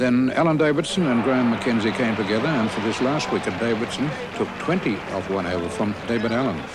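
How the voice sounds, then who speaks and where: Over noticeable background noise, a man talks at a fairly quick pace with lively intonation and hardly any pauses. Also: medium pitch for a man. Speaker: cricket radio commentator. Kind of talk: interview answer.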